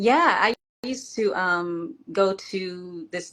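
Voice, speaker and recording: A woman with an American accent and a medium pitch. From Washington, D.C. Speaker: former music industry assistant, guest storyteller. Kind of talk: interview.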